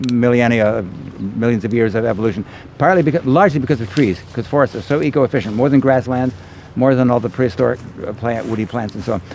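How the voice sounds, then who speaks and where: Very fast speech from a man at medium pitch, with ordinary pitch variation and noticeable background noise. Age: 60s. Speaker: veganic farmer. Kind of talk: outdoor workshop Q&A. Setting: outdoors. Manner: halting.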